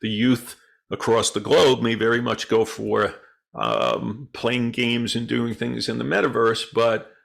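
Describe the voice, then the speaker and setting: A man at a fairly slow pace, in a very clean recording with a silent background. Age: 60s. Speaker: stock market educator. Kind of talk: market analysis show. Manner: hesitant with many fillers.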